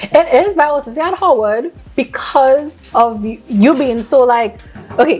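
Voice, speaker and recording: Over noticeable background noise, a woman with a Trinidadian accent talks at a fairly slow pace in a high voice with lively intonation. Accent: Trinidadian, kept. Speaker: student podcast co-host. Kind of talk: casual chat.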